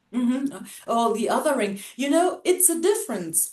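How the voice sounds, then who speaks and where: A woman talks in a high pitch with a German accent. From Germany, Hamburg. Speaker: racism-sensitive educator. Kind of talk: casual chat.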